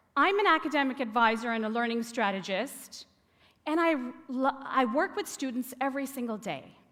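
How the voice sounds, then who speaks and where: A woman's high voice with a Canadian accent, at a moderate pace with very wide pitch swings, on a very clean recording with a silent background. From Toronto, Canada (immigrated from India at ten). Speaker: academic advisor and learning strategist. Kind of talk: TEDx talk. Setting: stage with audience.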